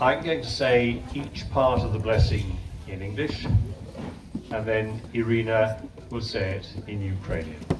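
Over noticeable background noise, a man with an English accent speaks fairly slowly at fairly low pitch, with big swings in loudness. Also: ordinary pitch variation. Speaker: priest performing blessing. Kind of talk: blessing ritual with call-and-response translation. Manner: fervent, prayerful, heartfelt in the blessing. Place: garden.

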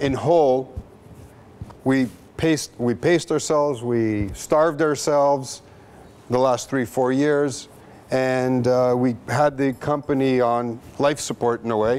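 A man talks at a fairly slow pace. His loudness stays very even throughout. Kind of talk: business presentation. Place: hall.

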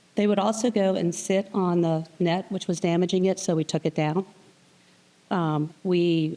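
A woman speaks fairly slowly with a fairly low pitch in a dark, mellow tone. Her intonation is monotone and flat. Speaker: public commenter at council meeting. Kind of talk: public comment. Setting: city council meeting.

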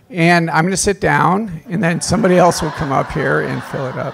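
A man speaks at a fairly quick pace. His voice sits high in pitch. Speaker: priest giving a workshop. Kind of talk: workshop talk. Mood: warm, lightly humorous. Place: hall. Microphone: handheld.

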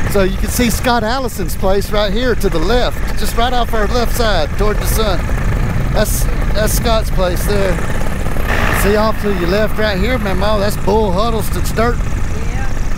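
A man is speaking. The sound is dry with no echo, with noticeable background noise. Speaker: paramotor pilot instructor. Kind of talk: casual narration to passenger. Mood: warm, reassuring.

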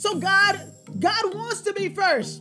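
Clear music plays in the background while a woman speaks. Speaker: preacher or Bible teacher. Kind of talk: sermon. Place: home room.

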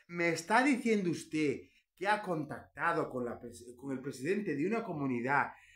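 With lively intonation and a fairly slow pace, a man talks over a quiet background. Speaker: political commentary YouTuber, historian; political commentary YouTuber. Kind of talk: opinion monologue. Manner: animated; emphatic, sounds angry. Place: home room. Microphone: phone near.

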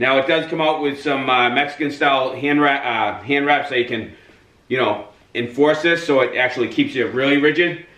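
There is audible room echo around this man. He keeps a moderate pace with ordinary pitch variation. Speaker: boxing trainer. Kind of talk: tutorial. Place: gym. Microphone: camera far.

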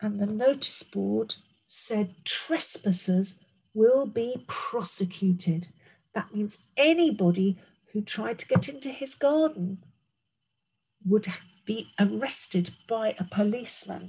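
A woman speaks very slowly in a British accent, her somewhat breathy voice gentle and warm with a dark, mellow tone and big swings in loudness. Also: quiet background. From England. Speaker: primary school teacher. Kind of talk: bedtime-style story reading aloud to young children, with commentary on the pictures. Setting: recorded video lesson for a school class. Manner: gentle, warm and expressive, with slow, clear pacing and pauses to point at pictures; explains words simply and addresses children directly. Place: home room. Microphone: webcam.

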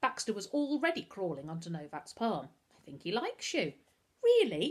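The clip is of reading aloud in a natural voice.

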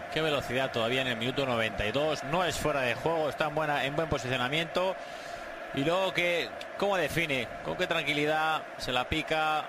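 A man at very even loudness over noticeable background noise. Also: fairly high pitch for a man, ordinary pitch variation, moderate pace. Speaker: football match commentator. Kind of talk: live sports commentary, co-commentator analysing goals. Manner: conversational, hesitant, repeats words, tag questions.

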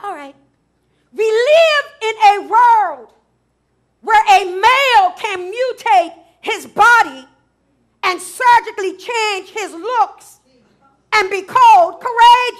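A woman talks at an extremely high pitch and a very slow pace, with long, frequent pauses and big swings in loudness. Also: ordinary pitch variation. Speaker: preacher. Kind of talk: sermon delivery. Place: church. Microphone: headset.

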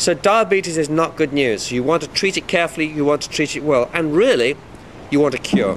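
Speech moves at a fairly quick pace. The pitch shows ordinary variation. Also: man, fairly high pitch for a man.

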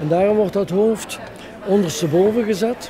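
A man's voice against crowd noise in the background. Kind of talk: demonstration explanation. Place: hall. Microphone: handheld.

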